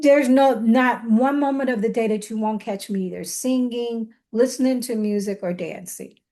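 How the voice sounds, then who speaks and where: A woman speaks at a moderate pace with hardly any pauses. Her fairly high voice shows ordinary pitch variation. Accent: American. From Chicago, south side. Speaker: dance scholar. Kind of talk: podcast interview. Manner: halting.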